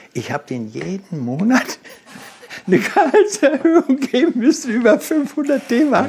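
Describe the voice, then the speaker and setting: With noticeable background noise behind him, a man speaks fairly slowly in an extremely high voice, with very wide pitch swings and big swings in loudness. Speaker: car designer and company founder. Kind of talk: interview. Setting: in person.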